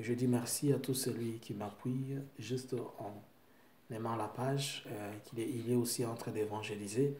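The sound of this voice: Against audible room echo, a man speaks at a moderate pace and medium pitch, with a slightly mellow tone and fairly even intonation.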